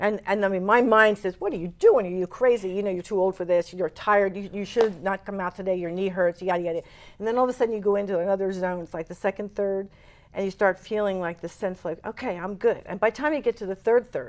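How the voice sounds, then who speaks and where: A woman's medium-pitched voice in an American accent, very fast in pace, with fairly even intonation. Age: 70s. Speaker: interview guest preparing a long pilgrimage walk. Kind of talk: TV interview.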